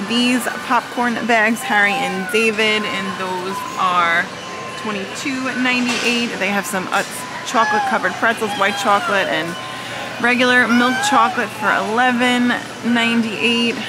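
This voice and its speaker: A woman at a moderate pace, with music in the background. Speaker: shopping vlogger. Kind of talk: casual vlog chat. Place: shop. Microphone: phone near.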